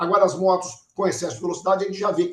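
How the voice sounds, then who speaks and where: The speaker is a man. His pitch is high. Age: 70s. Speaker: transport engineer and urban mobility consultant. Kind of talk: podcast interview.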